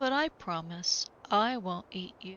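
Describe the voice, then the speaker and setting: Slow-ish delivery from a woman in a put-on character voice. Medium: read story.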